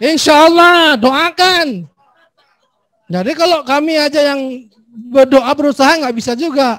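A man speaks fairly slowly in an extremely high voice with ordinary pitch variation. The sound is dry with no echo, against a quiet background. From Aceh. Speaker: legislator chairing a hearing. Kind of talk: formal hearing, casual Indonesian. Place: hall. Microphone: handheld.

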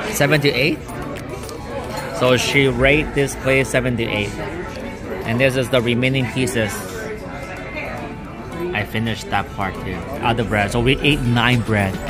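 Clear music plays in the background as a man talks at a moderate pace with ordinary pitch variation and long, frequent pauses. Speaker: food vlogger. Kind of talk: casual vlog chat. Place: cafe.

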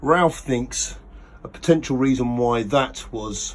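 Light noise sits behind the man, whose pitch varies in an ordinary way. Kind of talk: casual vlog chat. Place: boat. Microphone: phone near.

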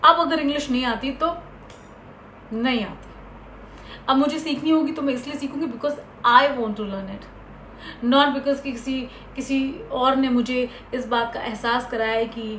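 A woman with a high pitch and fairly even intonation speaks at a fairly slow pace with long, frequent pauses, amid audible room echo and light background noise. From India, Uttar Pradesh. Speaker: actress and vlogger; actress, vlogger. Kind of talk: personal story vlog. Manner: Hindi-English code-switching. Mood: reflective, earnest. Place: home room. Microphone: phone near.

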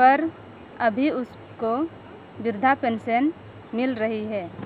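Using a plain, everyday voice, a woman speaks at a fairly high pitch with ordinary pitch variation. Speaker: community reporter. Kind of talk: field report and interview.

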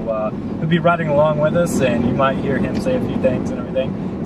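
Against loud background noise, a man talks at a very fast pace in a dry sound with no echo. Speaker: aviation vlogger. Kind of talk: casual vlog chat. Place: car. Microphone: camera far.

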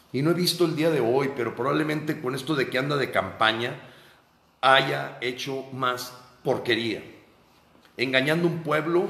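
A man speaks in an animated tone at a fairly high pitch, with ordinary pitch variation, a moderate pace and audible room echo. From Mexico. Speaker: political activist. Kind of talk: monologue commentary. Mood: indignant, critical. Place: home room. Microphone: phone near.

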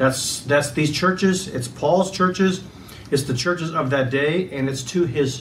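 The voice shows ordinary pitch variation. Light background noise sits behind it. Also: man. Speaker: pastor. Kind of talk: sermon. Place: home room. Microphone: camera far.

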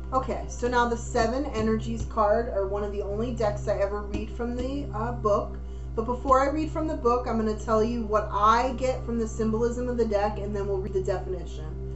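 With clear music in the background, a woman talks at a fairly quick pace with hardly any pauses. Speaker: intuitive card reader. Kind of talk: card reading commentary. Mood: warm, encouraging.

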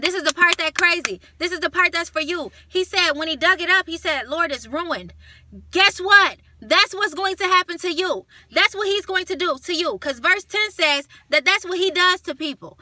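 A woman uses a raised, projected voice at an extremely high pitch, with a bright, sharp, animated tone. Her pitch variation is ordinary, and the background is quiet. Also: moderate pace, dry sound with no echo. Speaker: video channel host preaching a rebuke. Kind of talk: fiery preaching-style rebuke and exhortation with scripture retelling. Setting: home video recording to camera. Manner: animated, indignant, emphatic, rhetorical questions and repetition; direct, scolding, addressing target as 'you'. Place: car. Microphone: phone near.

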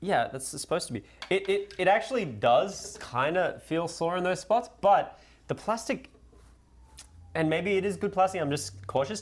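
With a playful tone, a man speaks at a high pitch. His intonation is lively and his pace moderate. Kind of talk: casual live-streamed product testing chat. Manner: joking, playful. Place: kitchen.

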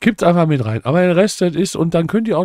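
A man's animated tone against a quiet background. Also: dry sound with no echo. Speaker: cooking video creator. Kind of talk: casual cooking tutorial. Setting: home kitchen. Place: home room. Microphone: studio mic.

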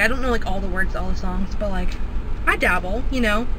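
Noticeable background noise runs beneath a woman talking at a moderate pace, the sound dry with no echo. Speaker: vlogger. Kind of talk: casual vlog talk to camera. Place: car. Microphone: phone near.

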